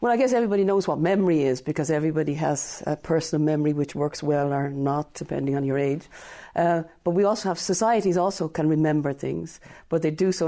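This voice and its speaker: Speaking at a fairly quick pace in an Irish accent, a woman uses a very deep, low pitch and a dark, mellow tone, recorded very cleanly against a silent background. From Ireland. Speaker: professor of comparative literature. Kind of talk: radio interview.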